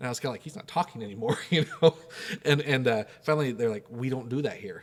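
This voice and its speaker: Animated and very fast, a man speaks at a medium pitch with lively intonation. His loudness swings widely. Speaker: missionary. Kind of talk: casual chat.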